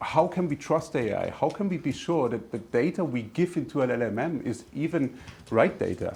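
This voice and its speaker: This man's intonation is lively. His pitch sits fairly high. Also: moderate pace. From Germany. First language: German. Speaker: tech company executive. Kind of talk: business presentation.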